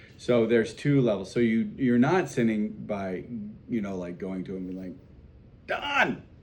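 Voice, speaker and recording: Audible room echo surrounds a man of medium pitch who speaks at a moderate pace, with ordinary pitch variation and big swings in loudness. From South Dakota. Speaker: priest teaching catechism class. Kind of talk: catechism class discussion. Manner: casual, conversational.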